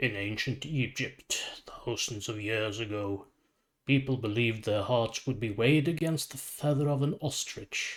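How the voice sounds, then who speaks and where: A man uses a put-on character voice, rumbling and gravelly, at a medium pitch with ordinary pitch variation and a moderate pace. The recording is very clean with a silent background. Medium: read story. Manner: calm, measured.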